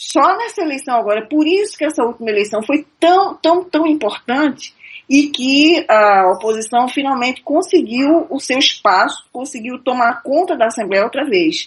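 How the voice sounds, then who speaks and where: A woman speaks at a moderate pace with hardly any pauses. Her high voice swings very widely in pitch. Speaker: radio caller commenting on politics. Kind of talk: live radio call-in discussion.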